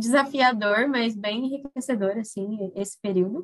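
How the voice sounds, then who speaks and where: The woman's voice is fairly high, with ordinary pitch variation. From Brazil, Mato Grosso do Sul (Corumbá, Pantanal). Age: 20s. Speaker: humanitarian worker. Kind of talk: interview.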